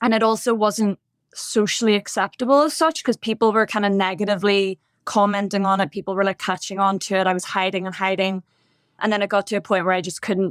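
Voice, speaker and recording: Here a woman with a Northern Irish accent speaks very fast at a medium pitch with ordinary pitch variation. The recording is very clean with a silent background, and the sound is dry and close with no echo. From Northern Ireland, Bangor near Belfast. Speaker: podcast guest sharing recovery story. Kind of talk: interview testimony.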